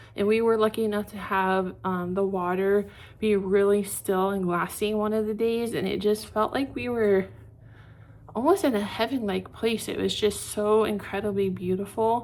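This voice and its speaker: A woman speaks at a moderate pace with a medium pitch and fairly even intonation. The recording is very clean, with a silent background. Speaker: vlogger. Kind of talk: casual vlog talk to camera. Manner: chatty with many filler ums.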